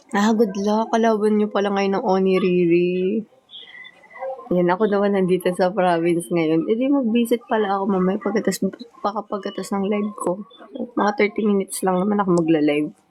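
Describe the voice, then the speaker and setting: A woman speaks at a fairly quick pace in a medium pitch, with ordinary pitch variation and very even loudness. Noticeable background noise runs under her voice. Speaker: idol group member livestreamer. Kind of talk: casual livestream chat.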